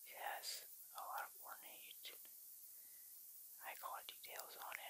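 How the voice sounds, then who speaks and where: Someone whispers at a fairly slow pace. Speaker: ASMR creator. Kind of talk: ASMR soft-spoken show-and-tell of a collectible. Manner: soft-spoken, whispering.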